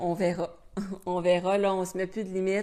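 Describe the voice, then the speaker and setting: In a Quebec accent, a woman talks at a moderate pace with monotone, flat intonation. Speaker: travel vlogger. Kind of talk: casual chat. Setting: live stream. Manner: hesitant, many fillers.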